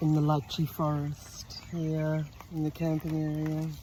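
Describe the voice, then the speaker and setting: A woman speaks very slowly in an Australian accent, her pitch very deep and low. Noticeable background noise runs under her voice. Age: 60s. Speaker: women's circle facilitator. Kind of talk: personal vlog. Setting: outdoors.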